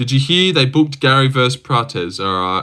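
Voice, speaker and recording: Lively intonation and a bright, sharp tone in an Australian accent, at a moderate pace, on a very clean recording with a silent background. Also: man. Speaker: livestreamer reading chat, MMA fan. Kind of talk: casual livestream chat. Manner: casual, rambling.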